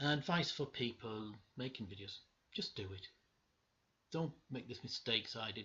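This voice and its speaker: Spoken in a Cumbrian accent, the voice keeps a moderate pace and has lively intonation. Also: man. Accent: northern English (Cumbrian). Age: 60s. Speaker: vinyl collector vlogger. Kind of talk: casual video monologue. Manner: halting, many fillers.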